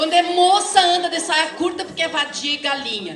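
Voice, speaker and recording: The voice is raised and projected, with ordinary pitch variation. Audible room echo and noticeable background noise run through the recording. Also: woman. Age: 60s. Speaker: teacher and activist speaker. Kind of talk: lecture. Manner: halting.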